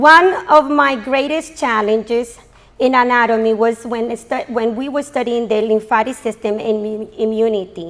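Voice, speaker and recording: She speaks at a moderate pace with ordinary pitch variation. Her woman's voice sits fairly high in pitch. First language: not English. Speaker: graduating student. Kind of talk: graduation speech. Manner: halting.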